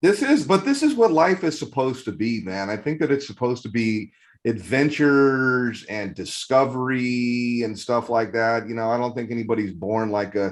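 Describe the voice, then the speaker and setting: A man speaks at a medium pitch and a moderate pace with ordinary pitch variation. His tone is animated, and the background is quiet. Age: 50s. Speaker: magazine editor and interviewer. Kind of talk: casual interview.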